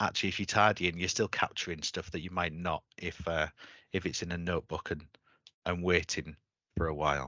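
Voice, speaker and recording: A man's very deep, low voice, monotone and flat, at a fairly quick pace. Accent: Yorkshire. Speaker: webinar host. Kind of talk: webinar discussion.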